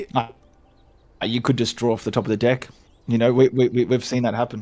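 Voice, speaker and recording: A man's very fast, monotone, flat delivery in an Australian accent, at a medium pitch with a dark, mellow tone. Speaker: co-host commentator. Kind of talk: live game commentary.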